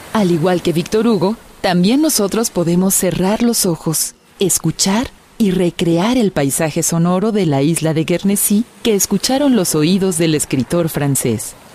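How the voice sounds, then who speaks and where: A woman with an ordinary speaking voice talks at a medium pitch with lively intonation. Her pace is fairly slow and her loudness very even. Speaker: radio documentary narrator. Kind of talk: scripted narration. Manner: formal, measured.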